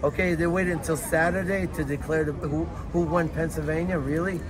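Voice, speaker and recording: Amid noticeable background noise and audible room echo, a fairly high-pitched man with a New York accent speaks at a fairly quick pace with ordinary pitch variation. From New York City (Lower East Side, Manhattan). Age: 60s. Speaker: Trump supporter at a protest. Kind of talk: street interview. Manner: repetitive, filler-heavy.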